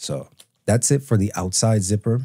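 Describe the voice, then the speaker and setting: A man speaks in a dark, mellow tone that is somewhat breathy. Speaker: retro gaming tech reviewer. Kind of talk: casual talk to camera. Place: home room. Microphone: studio mic.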